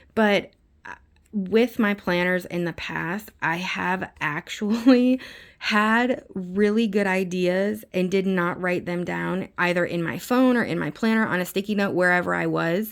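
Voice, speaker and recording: A woman speaks at medium pitch with ordinary pitch variation. The recording is very clean, with a silent background. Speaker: planner vlogger, mom. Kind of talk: casual chat. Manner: fast.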